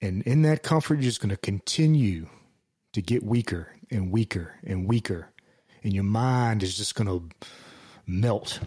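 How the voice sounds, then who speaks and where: Somewhat breathy and fairly low in pitch, a man speaks at a fairly slow pace with lively intonation and long, frequent pauses, in a dry, close sound with no echo. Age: 40s. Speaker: podcast host, former firefighter. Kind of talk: solo podcast monologue. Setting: home office studio. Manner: casual, halting with fillers.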